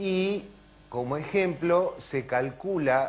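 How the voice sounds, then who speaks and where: A man speaks in an Argentine accent with ordinary pitch variation. There is audible room echo. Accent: Argentine Spanish (Rioplatense). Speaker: neurologist and lecturer. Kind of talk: conference talk. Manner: animated.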